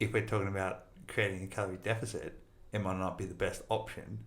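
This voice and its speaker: Vocal fry runs through this man's fairly low voice, his intonation fairly even. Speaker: podcast host, fitness coach. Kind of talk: podcast interview host.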